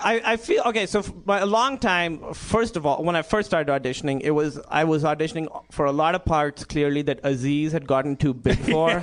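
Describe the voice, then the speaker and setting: Against noticeable background noise, a man with a non-native accent speaks with lively intonation, very even loudness and hardly any pauses. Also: fairly high pitch for a man, fairly quick pace. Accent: foreign accent, noticeable. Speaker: actor. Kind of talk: casual chat. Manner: animated.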